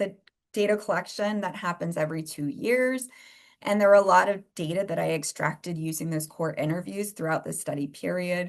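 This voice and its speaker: This woman has an unremarkable speaking voice, fairly low in pitch with ordinary pitch variation. She speaks at a fairly quick pace against a quiet background. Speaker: researcher presenting a workshop. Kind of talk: lecture.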